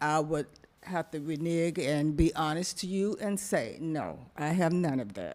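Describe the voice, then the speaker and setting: The speaker has an American accent and talks at a very slow pace. The recording is very clean, with a silent background. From US South, Florida. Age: 70s. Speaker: board applicant, respiratory therapist. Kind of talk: public comment at council meeting.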